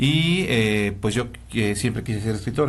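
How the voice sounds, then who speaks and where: Lively intonation marks a man's speech, with audible room echo around it. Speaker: hematologist. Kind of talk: interview. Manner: fast.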